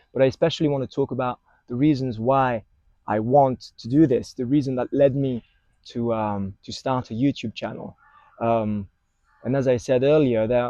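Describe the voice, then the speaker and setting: A man speaks at a moderate pace with a French accent, his medium-pitched voice dark and mellow in a dry, close recording with no echo. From France. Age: 20s. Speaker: vlogger. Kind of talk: casual vlog monologue. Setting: outdoors in a park. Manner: halting, many fillers. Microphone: wireless clip-on mic on phone.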